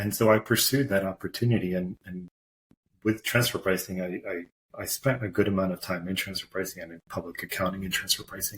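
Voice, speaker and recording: The speaker talks at a fairly quick pace with a somewhat breathy voice. The intonation stays fairly even. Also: man. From Portugal, moved to US at nine. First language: Portuguese. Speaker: corporate tax executive. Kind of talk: podcast interview.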